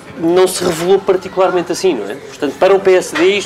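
Over crowd noise in the background, a woman with a fairly low pitch talks at a very fast pace. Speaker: journalist. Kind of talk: interview. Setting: live broadcast from a café.

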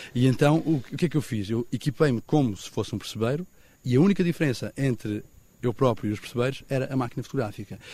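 Somewhat breathy, a man rushes at a very fast pace in a medium pitch with ordinary pitch variation. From Portugal, Algarve southwest coast. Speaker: photographer. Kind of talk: interview.

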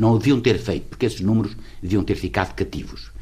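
A man is talking. His voice is very deep and low in pitch. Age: 70s. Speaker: lawyer, writer and former politician. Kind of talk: interview. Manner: halting.

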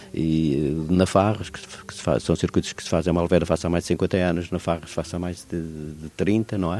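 A man with a very deep, low pitch and a dark, mellow tone at a fairly quick pace, in a very clean recording with a silent background. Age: 70s. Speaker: cycling association president. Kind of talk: interview.

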